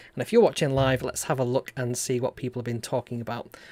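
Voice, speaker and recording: A man with a northern English accent and a dark, mellow tone at a very fast pace, in a very clean recording with a silent background. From northern England. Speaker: robotics maker and YouTuber. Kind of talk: live stream tutorial chat. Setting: live stream. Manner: casual, with frequent fillers.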